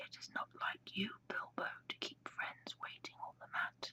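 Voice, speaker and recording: A woman whispers at a fairly slow pace. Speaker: ASMR whisper reader. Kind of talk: audiobook-style story reading. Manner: whispered.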